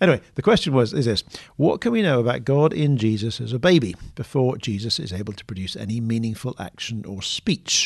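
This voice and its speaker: With a British accent, a man of medium pitch speaks fairly quickly, with lively intonation and big swings in loudness against a quiet background. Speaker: podcast host, theologian. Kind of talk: casual discussion. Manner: soft-spoken, trying to speak up.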